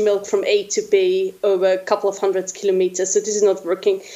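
A woman with a German accent speaks at a moderate pace in a monotone, flat voice. Noticeable background noise is present. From Austria. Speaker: researcher. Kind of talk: interview.

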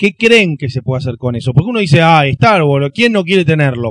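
With a Rioplatense accent, a man's fairly high voice swings very widely in pitch, the sound dry and close with no echo. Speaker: film commentator. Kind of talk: casual chat.

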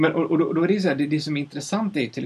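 There is noticeable background noise behind this man's voice. His pitch varies in an ordinary way. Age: 30s. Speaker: sound designer. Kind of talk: casual chat. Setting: studio. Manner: halting. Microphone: far from the mic.

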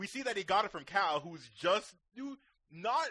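Projecting a raised voice, a man speaks at a moderate pace with a bright, sharp tone and lively intonation. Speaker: podcast co-host. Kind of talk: casual chat.

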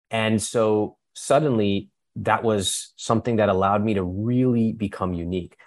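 Heard in a very clean recording with a silent background, a man with an American accent speaks in a plain, everyday voice at a fairly low pitch, moderate pace and fairly even intonation. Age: 40s. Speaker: personal finance author and educator. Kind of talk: interview. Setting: podcast interview. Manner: frequent um fillers.

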